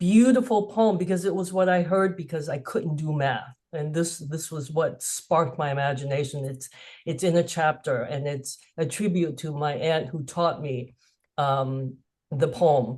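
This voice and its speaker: The speaker talks at a moderate pace with an American accent. The voice is somewhat breathy, with ordinary pitch variation. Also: woman, very deep, low pitch for a woman. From US, Cantonese Chinese American family. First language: Cantonese. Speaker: author. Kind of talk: webinar conversation.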